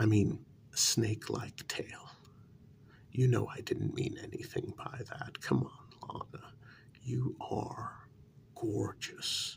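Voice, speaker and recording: Whispering at a very slow pace with long, frequent pauses. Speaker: role-play narrator. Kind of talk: scripted role-play monologue. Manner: soft, gentle coaxing ASMR voice.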